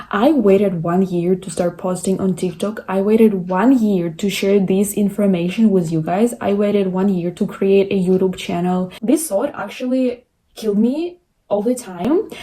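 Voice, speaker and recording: A woman with a non-native accent speaks at a moderate pace and a medium pitch, with ordinary pitch variation. Her voice is somewhat breathy, with a dark, mellow tone. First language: not English. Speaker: content creator. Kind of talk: motivational talk to camera.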